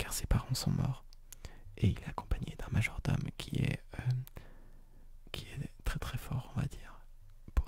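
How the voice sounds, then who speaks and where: A man is whispering. He goes at a very slow pace. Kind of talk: ASMR soft spoken talk about anime and manga.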